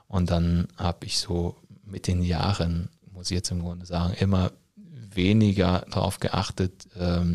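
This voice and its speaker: A man speaks in a very deep, low pitch with a dark, mellow tone. The recording is very clean, with a silent background. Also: dry, close sound with no echo. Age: 30s. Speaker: teacher working in education ministry. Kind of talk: interview. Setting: studio, in person.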